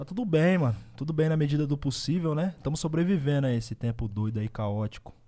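A very fast, somewhat breathy delivery in a dark, mellow tone, with lively intonation and hardly any pauses. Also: man, fairly high pitch for a man. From Osasco and Bauru, São Paulo state, Brazil. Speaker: rapper. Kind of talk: casual chat.

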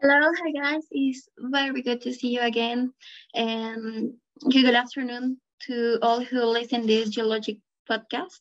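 Speaking fairly slowly in a Bolivian accent, a woman keeps her high voice on a fairly even line. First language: Spanish. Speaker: engineering student. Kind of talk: interview answers.

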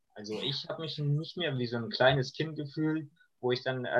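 Ordinary pitch variation marks the delivery. The voice belongs to a man. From Iran. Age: 20s. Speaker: refugee sharing life story. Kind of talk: interview. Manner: hesitant, many fillers.

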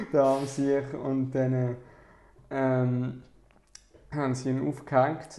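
Long pauses come often. The overall pace is very slow. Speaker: youth group podcast host. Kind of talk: casual chat. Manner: halting, many fillers.

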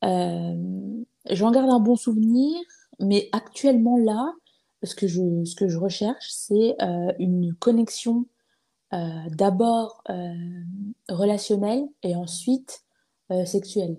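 Slowly and with long, frequent pauses, a woman speaks in a dark, mellow, somewhat breathy tone with ordinary pitch variation. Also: medium pitch for a woman. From eastern France (Épinal, Vosges). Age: 20s. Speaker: podcaster. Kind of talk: casual interview conversation. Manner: hesitant, many fillers and repetitions.

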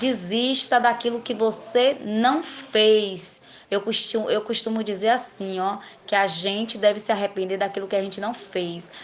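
A woman's fairly high voice with fairly even intonation, at a fairly slow pace over noticeable background noise. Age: 30s. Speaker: beauty salon owner. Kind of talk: interview.

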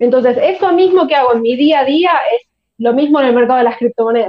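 With ordinary pitch variation, a woman talks very fast in a high voice. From Argentina, Buenos Aires. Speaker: crypto investor and content creator. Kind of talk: casual interview chat.

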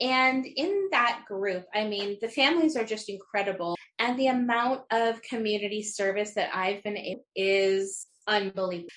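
An unremarkable speaking voice from a woman, fairly high in pitch, with ordinary pitch variation, a moderate pace and hardly any pauses. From Utah. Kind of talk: interview.

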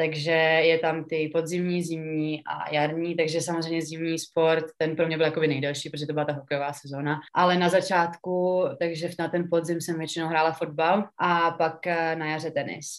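A woman's fairly low, monotone voice with flat intonation at a fairly quick pace. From Czechia, Pardubice. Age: 20s. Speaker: professional ice hockey player. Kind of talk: interview. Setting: remote call.

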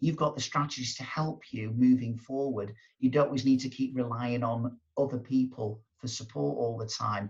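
Somewhat breathy, a man speaks at a medium pitch and moderate pace with fairly even intonation. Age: 50s. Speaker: motivational speaker and coach. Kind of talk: interview.

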